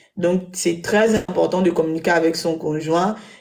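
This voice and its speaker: A woman speaks with a dark, mellow tone at a fairly low pitch. Her intonation stays fairly even. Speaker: web show panelist. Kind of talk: live panel discussion. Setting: live web broadcast studio.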